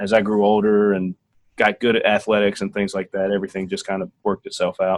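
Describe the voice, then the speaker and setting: With a strong Tennessee accent, a man talks at a fairly quick pace and fairly low pitch in a dry, close sound with no echo. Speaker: Air Force officer. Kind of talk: interview.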